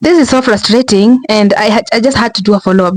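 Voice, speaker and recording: Someone with a Kenyan accent talks very fast over noticeable background noise. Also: woman. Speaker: commentary vlogger. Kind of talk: casual vlog commentary. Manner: halting, many restarts.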